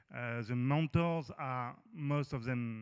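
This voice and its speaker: Speaking very slowly in a French accent, a man keeps his voice at a medium pitch. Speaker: mentoring organization representative. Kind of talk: panel discussion. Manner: halting, hesitant.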